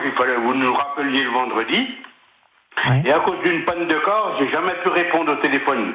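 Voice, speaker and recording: With audible room echo and noticeable background noise, a man of fairly high pitch talks at a fairly quick pace with long, frequent pauses, very even loudness and ordinary pitch variation. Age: 60s. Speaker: retired bus driver and longtime listener. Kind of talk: radio interview. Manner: halting.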